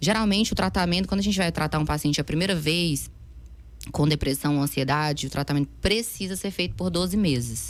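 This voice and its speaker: A woman speaks at a fairly quick pace in a very deep, low voice with vocal fry and lively intonation. Her loudness stays very even on a very clean recording with a silent background. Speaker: psychiatrist. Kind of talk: interview. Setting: studio. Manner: fast.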